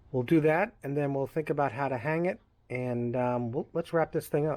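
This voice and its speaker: Someone with a Long Island accent talks at a moderate pace with ordinary pitch variation. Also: man, fairly high pitch for a man. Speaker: craftsman / DIY maker. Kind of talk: workshop tutorial narration. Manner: casual, halting with repetitions.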